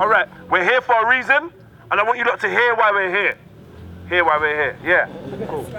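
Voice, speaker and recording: Loud and shouting, a man speaks with a high pitch and lively intonation at a fairly quick pace. Long, frequent pauses break up his speech, and noticeable background noise is present. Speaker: community activist. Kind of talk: addressing a crowd at street vigil. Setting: outdoors, street gathering. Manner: loud, shouting.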